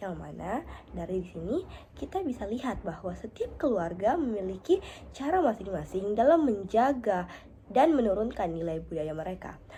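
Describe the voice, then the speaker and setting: A woman speaks at a moderate pace and medium pitch, in a dark, mellow tone with vocal fry. Her pitch swings very widely. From South Sulawesi, Indonesia (Pangkep). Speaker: university student. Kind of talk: class assignment presentation. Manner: halting with fillers.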